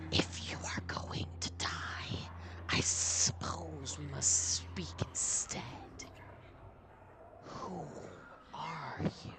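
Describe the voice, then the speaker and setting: A put-on character voice speaks very slowly with a very deep, low pitch. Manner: slow, ancient.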